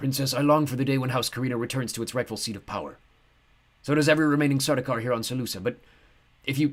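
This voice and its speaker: A hoarse, put-on character voice at a very fast pace, with fairly even intonation and long, frequent pauses. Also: man, medium pitch for a man. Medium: read story. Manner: clipped, guarded.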